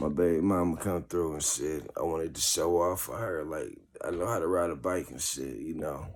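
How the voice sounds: A man drawls in a low, raspy voice with vocal fry, a slightly mellow tone and lively intonation.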